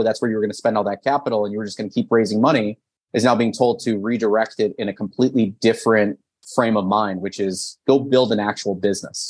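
With an American accent, a man talks at a fairly quick pace and a medium pitch. His intonation is fairly even, over a quiet background. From US, son of Soviet immigrants. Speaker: business consultant, CEO. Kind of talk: interview.

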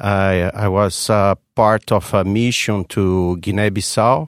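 In a very clean recording with a silent background and a dry, close sound with no echo, a man speaks at a very slow pace in a fairly low pitch with a Portuguese accent. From Brazil. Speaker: economics professor. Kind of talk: interview. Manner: halting, many fillers.

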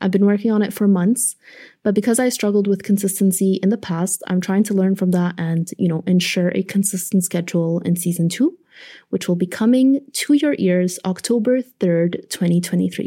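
In a very clean recording with a silent background, a woman speaks at medium pitch, somewhat breathy, with a dark, mellow tone and very even loudness. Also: ordinary pitch variation, moderate pace. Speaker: podcast host and producer. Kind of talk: scripted narration. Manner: stutters when nervous.

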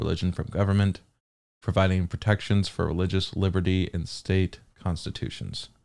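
A man with an American accent speaks at a very deep, low pitch and a fairly quick pace. The recording is very clean, with a silent background. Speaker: podcast host. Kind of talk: angry unplanned rant, heated and profane. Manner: baffled, incredulous, sarcastic.

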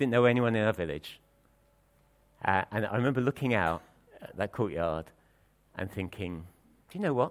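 Lively intonation colors a man's fairly low voice. His pace is moderate, broken by long, frequent pauses. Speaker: preacher. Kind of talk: sermon. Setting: church.

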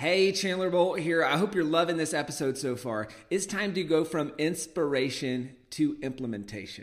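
In a normal speaking voice, a man talks at a moderate pace with a fairly high pitch and lively intonation. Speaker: podcast host. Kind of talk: interview, casual podcast conversation.

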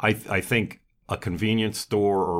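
On a very clean recording with a silent background, a man talks very slowly with fairly even intonation. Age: 60s. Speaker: restaurant owner. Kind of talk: casual interview. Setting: podcast studio.

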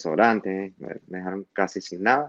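With an unremarkable speaking voice, a man talks at a fairly quick pace and ordinary pitch variation. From Venezuela, Maracaibo (Zulia). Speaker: asylum-seeking immigrant. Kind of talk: interview testimony.

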